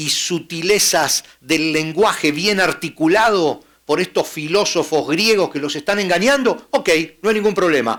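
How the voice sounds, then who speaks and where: Pitched high for a man, his voice moves at a moderate pace. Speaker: pastor. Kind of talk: sermon.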